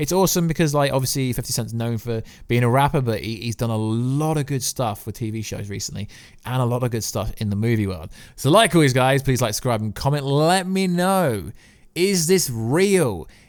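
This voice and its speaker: A man with an English accent, animated in tone and fairly quick in pace, on a very clean recording with a silent background. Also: medium pitch for a man, lively intonation. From England. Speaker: YouTuber, TV commentator. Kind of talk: casual vlog commentary.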